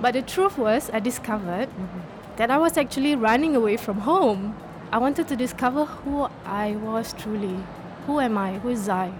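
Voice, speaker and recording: Music plays in the background as a woman talks at a moderate pace, her fairly high voice full of lively intonation. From Singapore. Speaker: author and entrepreneur. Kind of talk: radio interview. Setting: live radio broadcast at a book fair.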